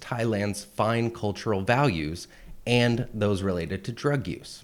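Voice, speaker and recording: With ordinary pitch variation, a plain, everyday voice talks at a moderate pace. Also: man. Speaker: parody news host. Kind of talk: satirical news read.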